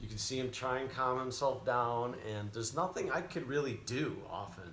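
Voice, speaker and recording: With audible room echo around him, a man speaks at a moderate pace and medium pitch with ordinary pitch variation. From Chicago. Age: 40s. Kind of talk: live stream Q&A. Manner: casual, conversational.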